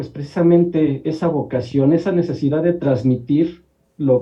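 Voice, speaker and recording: At a fairly slow pace, a man speaks in a somewhat breathy, fairly high voice with ordinary pitch variation. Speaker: columnist and industrial engineer. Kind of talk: TV talk show interview.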